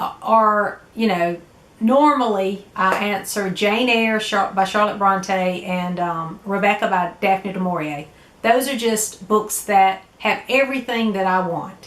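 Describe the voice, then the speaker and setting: In a Southern US accent, a woman speaks at a fairly slow pace with a medium pitch and ordinary pitch variation. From US South. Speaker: book vlogger. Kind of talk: casual vlog talk. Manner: hesitant, many fillers.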